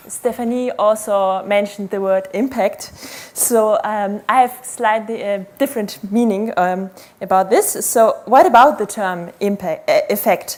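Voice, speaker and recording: Noticeable background noise surrounds a woman's voice. She speaks at a fairly slow pace with a fairly high pitch. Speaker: PhD researcher, conference speaker. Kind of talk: conference talk.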